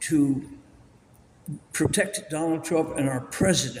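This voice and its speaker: A man speaks at a fairly slow pace in a high voice, with noticeable background noise behind him. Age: 80s+. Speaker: Systema instructor. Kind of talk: interview answer.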